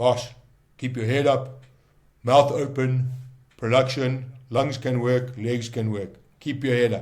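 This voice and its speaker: Putting on a gruff character voice at a medium pitch, a man speaks at a fairly slow pace with monotone, flat intonation, long, frequent pauses and audible echo. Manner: commanding, barking orders.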